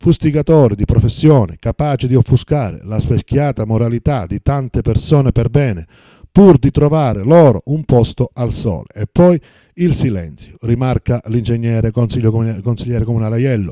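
A man with a dark, mellow tone speaks at medium pitch and moderate pace with lively intonation, in a dry sound with no echo against a quiet background. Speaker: press review reader. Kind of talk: news reading, reading newspaper articles aloud in a steady formal broadcast style. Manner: formal; even, steady, newsreader delivery. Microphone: phone near.

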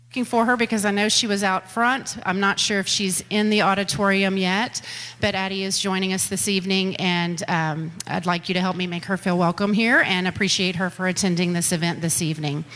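Ordinary pitch variation comes with a moderate pace of delivery. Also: woman. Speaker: school district official hosting a meeting. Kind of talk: public address to audience. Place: hall.

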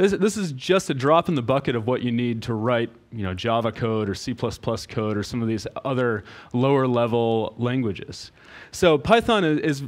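Lively intonation from a man at a moderate pace. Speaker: conference presenter. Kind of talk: lecture. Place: hall. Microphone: headset.

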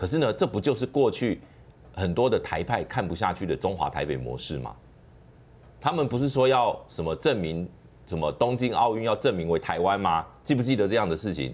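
Vocal fry runs through a man's fairly low-pitched voice. He talks at a fairly quick pace with very wide pitch swings. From Taiwan. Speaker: political commentator. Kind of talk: political commentary. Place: studio.

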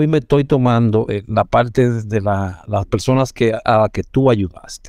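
A man with a dark, mellow tone talks at a moderate pace in a medium pitch with ordinary pitch variation. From Dominican Republic, Villa Duarte (Santo Domingo Este). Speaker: podcast host, former rescuer. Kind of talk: interview.

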